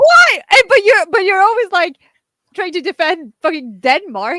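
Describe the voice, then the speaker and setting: Raised and projected, a woman's extremely high voice sounds bright and sharp, swinging very widely in pitch within a dry, close sound with no echo. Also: moderate pace. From Norway. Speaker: podcast co-host. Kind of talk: casual chat. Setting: live stream.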